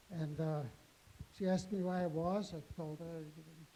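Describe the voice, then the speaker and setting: A man speaks at a fairly high pitch with fairly even intonation. Some room echo can be heard. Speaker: Holocaust survivor. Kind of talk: testimony to students. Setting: school auditorium with audience. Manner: halting, repeats words.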